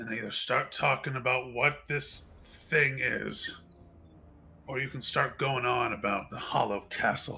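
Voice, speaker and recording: Using a put-on character voice, a man sounds raspy at a medium pitch and moves at a fairly slow pace. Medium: actual play. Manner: tense, gritted-teeth intensity.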